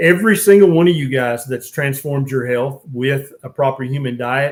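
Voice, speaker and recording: This man speaks with an American accent. His pitch sits fairly high. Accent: Southern US accent, noted by others. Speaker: physician and diet channel host. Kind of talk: live-stream Q&A. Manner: casual.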